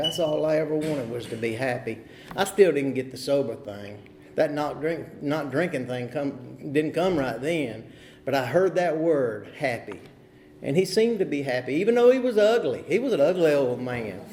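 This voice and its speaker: A man with a North Carolina accent has a fairly high pitch and lively intonation. Room echo is audible. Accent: US Southern (North Carolina). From North Carolina, Huntersville near Charlotte. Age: 50s. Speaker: recovery meeting speaker. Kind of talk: recovery testimony. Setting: meeting hall at podium.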